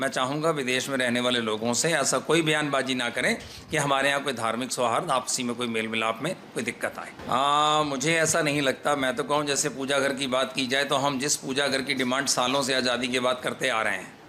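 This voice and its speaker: A man at a fairly high pitch, a normal speaking voice, moderate pace, ordinary pitch variation and hardly any pauses. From India, Lucknow, Uttar Pradesh. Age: 60s. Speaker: Sikh community leader. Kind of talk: media interview statement.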